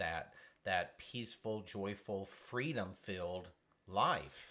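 His voice has a bright, sharp tone. This man speaks in a fairly low pitch. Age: 50s. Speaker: counseling ministry radio host. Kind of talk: faith-based counseling talk show.

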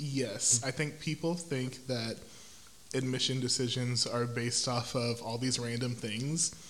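A man with an American accent talks at a moderate pace in a medium pitch. His voice is somewhat breathy, and his intonation fairly even. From Houston, Texas. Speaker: educator, church praise team singer. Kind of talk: casual interview.

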